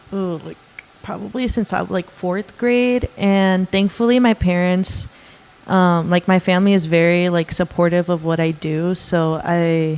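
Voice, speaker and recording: A woman speaks fairly slowly in a fairly low voice with a Californian accent. Background noise is noticeable. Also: ordinary pitch variation. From Los Angeles, San Fernando Valley. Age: 20s. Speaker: art student. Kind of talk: interview. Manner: hesitant, many fillers.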